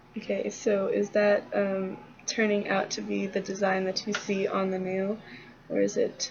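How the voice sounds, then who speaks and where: Against noticeable background noise, a woman mumbles at a fairly slow pace. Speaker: student teaching a peer. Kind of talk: casual tutorial. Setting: dorm lobby. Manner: mumbling.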